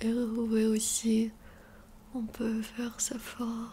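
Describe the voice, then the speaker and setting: Soft-spoken and fairly high-pitched, a woman speaks in a monotone, flat intonation over light background noise. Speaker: ASMR youtuber. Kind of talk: ASMR skincare tutorial. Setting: bedroom near the street. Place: home room. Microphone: studio mic.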